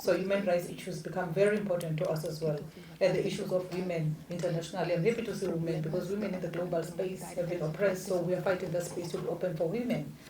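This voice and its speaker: A woman's fairly low, flat monotone at a very fast pace, with audible room echo and noticeable background noise. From South Africa. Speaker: diplomat, former member of parliament. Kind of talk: panel discussion opening statement.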